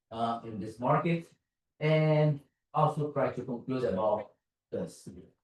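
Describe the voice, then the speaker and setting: A man with a Brazilian Portuguese accent, fairly high pitch for a man, somewhat breathy, at a fairly slow pace. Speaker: security consultant and conference speaker. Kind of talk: conference talk. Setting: stage with audience. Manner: casual, conversational.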